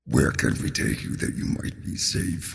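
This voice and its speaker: A man quietly performs a put-on character voice at a moderate pace. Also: very deep, low pitch for a man. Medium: actual play. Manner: quiet, solemn.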